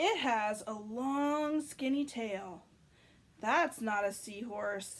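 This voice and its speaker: A woman uses a put-on character voice with a fairly high pitch. She speaks at a very slow pace. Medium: read story. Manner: enthusiastic.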